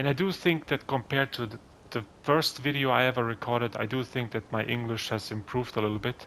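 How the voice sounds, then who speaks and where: A man with a non-native accent, medium pitch, moderate pace and ordinary pitch variation. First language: not English (English is third language). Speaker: gaming youtuber. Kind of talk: gameplay commentary. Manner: somewhat halting with fillers.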